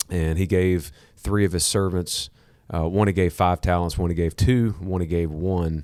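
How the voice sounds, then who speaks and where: Heard in a very clean recording with a silent background, a man with a Southern US accent speaks at a very deep, low pitch. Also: moderate pace. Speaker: podcast host. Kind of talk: casual teaching chat. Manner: animated, repeats 'okay?' often.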